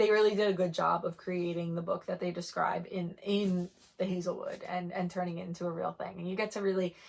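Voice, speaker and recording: Music plays in the background as a woman speaks at a medium pitch and a fairly quick pace. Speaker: book reviewer. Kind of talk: casual chat. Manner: fast; animated.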